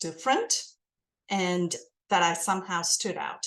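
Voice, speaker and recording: A woman with an American accent speaks at medium pitch over a quiet background. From India. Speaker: guest. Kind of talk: podcast interview.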